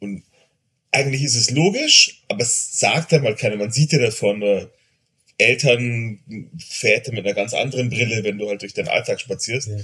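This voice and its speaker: A bright, sharp tone at a moderate pace, with ordinary pitch variation. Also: man, medium pitch for a man. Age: 40s. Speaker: father of two. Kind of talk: casual chat.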